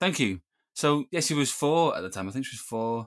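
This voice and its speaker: On a very clean recording with a silent background and a dry, close sound with no echo, a man in a northern English accent speaks at a very fast pace with lively intonation. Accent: northern English (Greater Manchester). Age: 30s. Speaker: filmmaker, composer and Parkinson's advocate. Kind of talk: casual interview chat.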